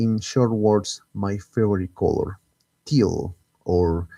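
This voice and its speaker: The recording is dry and close, with no echo. A man with a Spanish accent speaks in a dark, mellow tone with ordinary pitch variation. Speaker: gaming streamer. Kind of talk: live stream gameplay commentary. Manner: halting, frequent self-repetitions.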